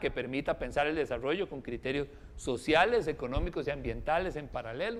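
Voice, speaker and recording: Fairly quick delivery with lively intonation. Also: man. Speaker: researcher. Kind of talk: lecture. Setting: forum with audience and live stream. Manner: fast.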